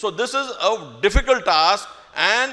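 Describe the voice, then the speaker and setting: A man's raised, projected voice at a fairly slow pace, over noticeable background noise. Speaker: school administrator addressing staff. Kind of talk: speech to staff. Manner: slow, deliberate.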